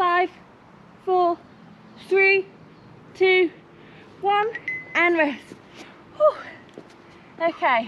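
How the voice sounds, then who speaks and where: A woman's extremely high voice at a very slow pace, with long, frequent pauses and light background noise. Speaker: fitness instructor. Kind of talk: workout instruction. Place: garden.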